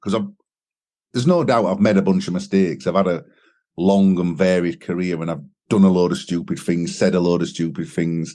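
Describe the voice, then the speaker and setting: A man with a Sheffield accent, very deep and low in pitch, at a fairly quick pace. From northern England, Sheffield. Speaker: singer and songwriter. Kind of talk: interview. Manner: casual.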